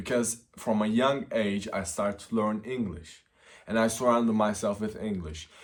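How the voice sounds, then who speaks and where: A man's fairly low voice with a non-native accent, ordinary pitch variation and a moderate pace. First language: not English. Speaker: self-improvement youtuber. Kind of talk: casual vlog advice. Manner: unscripted, with fillers.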